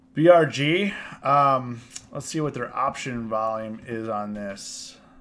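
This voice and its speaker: A man's voice at a very slow pace, with audible room echo. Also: medium pitch for a man, ordinary pitch variation. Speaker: options trading educator. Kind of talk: live stream Q&A. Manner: halting.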